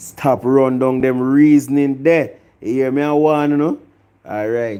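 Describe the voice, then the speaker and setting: With a Jamaican accent, a man speaks at a medium pitch and a fairly slow pace in a dark, mellow tone. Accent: Jamaican patois. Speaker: music review vlogger. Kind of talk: opinion rant vlog. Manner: animated.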